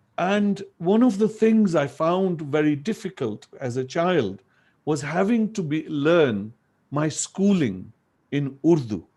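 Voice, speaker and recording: On a very clean recording with a silent background, a man with a Punjabi accent and high pitch speaks at a very slow pace, his dark, mellow tone showing very wide pitch swings. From Pakistan, northern Punjab. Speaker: language activist and educator. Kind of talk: lecture.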